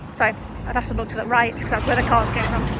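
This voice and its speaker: With noticeable background noise, a woman talks at a fairly quick pace. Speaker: vlogger. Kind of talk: casual vlog monologue. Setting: in a parked car. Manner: halting, with many fillers.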